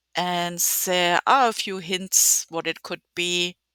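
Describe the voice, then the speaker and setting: In a very clean recording with a silent background, a woman with a strong German accent speaks at a very slow pace and a fairly low pitch. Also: dry, close sound with no echo. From Germany. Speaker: video game content creator. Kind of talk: gameplay walkthrough. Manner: halting, many fillers.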